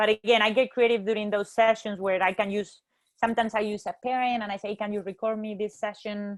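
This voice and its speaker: Very fast speech comes from a woman with a fairly high pitch. Her intonation is monotone and flat. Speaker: goalkeeper coach. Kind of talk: webinar presentation.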